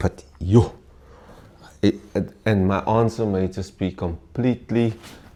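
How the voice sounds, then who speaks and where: With a South African accent, a man speaks at a fairly slow pace in a fairly low pitch, his tone dark and mellow and his intonation fairly even. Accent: Afrikaans South African English. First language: Afrikaans. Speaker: former volleyball player and mentor. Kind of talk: interview. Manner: halting.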